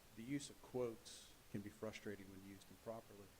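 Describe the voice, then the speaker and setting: A man mumbles at a fairly quick pace with fairly even intonation, and audible room echo is heard. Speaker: cardiologist speaking at public comment. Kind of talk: public comment at council meeting. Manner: mumbling; halting.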